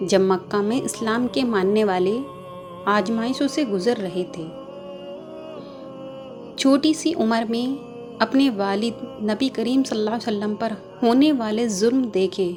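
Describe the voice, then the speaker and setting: A woman speaks at a fairly high pitch with ordinary pitch variation. Music plays behind her. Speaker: narrator. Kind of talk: religious story narration.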